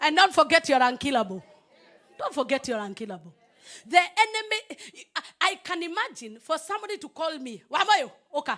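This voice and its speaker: A woman speaks in a raised, projected voice at an extremely high pitch, animated and with very wide pitch swings. Her pace is fairly quick, and crowd noise fills the background. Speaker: pastor. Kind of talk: sermon.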